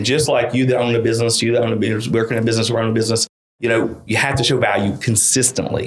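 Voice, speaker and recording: A man with a strong Eastern Kentucky accent talks at a very fast pace, his medium-pitched, somewhat breathy voice holding monotone, flat intonation and very even loudness. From Eastern Kentucky (Paintsville), US. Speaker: real estate marketing consultant. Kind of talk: casual interview chat. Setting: studio.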